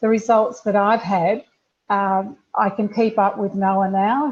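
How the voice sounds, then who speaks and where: A woman talks at a fairly slow pace in a somewhat breathy voice of medium pitch, with fairly even intonation. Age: 60s. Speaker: customer sharing weight-loss testimony. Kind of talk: testimony. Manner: halting.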